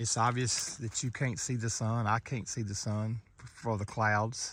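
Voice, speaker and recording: This man speaks at a fairly slow pace with a medium pitch and fairly even intonation. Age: 60s. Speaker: lay preacher. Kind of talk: devotional video monologue. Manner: halting, with repeated words.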